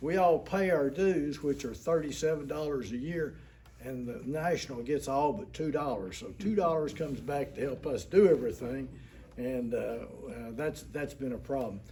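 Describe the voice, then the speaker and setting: A man with a Tennessee accent, a fairly high pitch, a dark, mellow tone and a somewhat breathy voice, lively intonation at a moderate pace, with audible room echo. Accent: Southern US (Tennessee). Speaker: war veteran. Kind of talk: public meeting address. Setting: city council meeting. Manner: halting.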